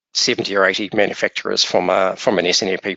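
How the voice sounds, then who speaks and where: Fairly quick speech from a man with a New Zealand accent. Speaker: software vendor presenter. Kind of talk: webinar presentation. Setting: webinar. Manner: hesitant, many fillers.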